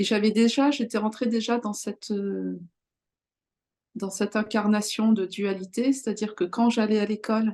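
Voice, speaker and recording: Fairly slow, fairly level speech in a dark, mellow tone. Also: woman. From France, Charente-Maritime. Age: 40s. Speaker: self-healing teacher. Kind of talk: interview. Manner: hesitant, many fillers.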